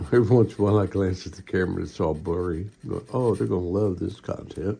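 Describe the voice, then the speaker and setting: A man talks very fast in a very deep, low, somewhat breathy voice with a dark, mellow tone, his loudness swinging widely while his pitch varies in an ordinary way. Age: 60s. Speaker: model-building hobbyist YouTuber. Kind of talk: casual tutorial.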